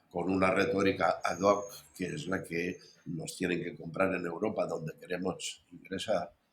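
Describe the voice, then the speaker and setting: Very slowly, a man speaks in a very deep, low voice. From Spain. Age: 70s. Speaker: historian and editor. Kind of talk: interview.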